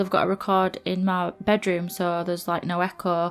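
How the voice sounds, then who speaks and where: With music in the background, a woman speaks in a Yorkshire accent with monotone, flat intonation. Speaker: gaming YouTuber. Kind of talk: voiceover commentary. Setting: recording in bedroom on laptop. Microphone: laptop placed on floor, speaker sits away from it.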